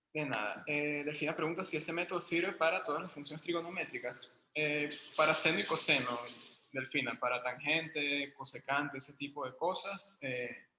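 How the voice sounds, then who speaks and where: There is audible room echo around a man's fairly high voice. He keeps a moderate pace with ordinary pitch variation. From Venezuela, Caracas. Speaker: university math lecturer. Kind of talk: online lecture.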